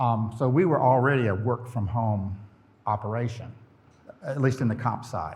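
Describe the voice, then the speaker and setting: In a room with audible echo, a somewhat breathy man with a Southern US accent speaks at a moderate pace, with ordinary pitch variation and long, frequent pauses. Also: medium pitch for a man. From US South, Florida Panhandle (Pensacola). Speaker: company president, conference speaker. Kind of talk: conference presentation. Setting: stage with audience.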